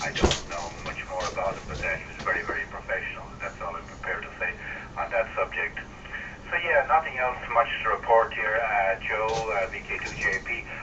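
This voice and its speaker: A man talking at a fairly quick pace, with big swings in loudness and noticeable background noise. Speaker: amateur radio operator. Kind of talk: radio net check-in. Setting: amateur radio transmission. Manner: hesitant, many fillers.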